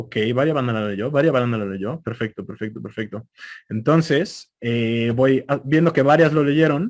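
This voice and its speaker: A man with a central Mexican accent speaks fairly slowly at a medium pitch with ordinary pitch variation. The recording is very clean, with a silent background. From Mexico City. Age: young. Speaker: conference speaker. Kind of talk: lecture.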